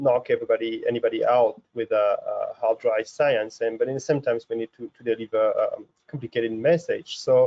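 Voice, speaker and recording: A man with a French accent speaks at a fairly quick pace. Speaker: research scientist, professor. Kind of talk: science webinar lecture. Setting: video webinar. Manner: halting, many fillers.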